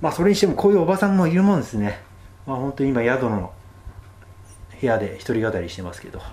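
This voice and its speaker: Amid audible room echo, a man speaks very fast at a medium pitch with very wide pitch swings, big swings in loudness, and long, frequent pauses. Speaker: travel radio host. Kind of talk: solo travel talk. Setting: cheap guesthouse room.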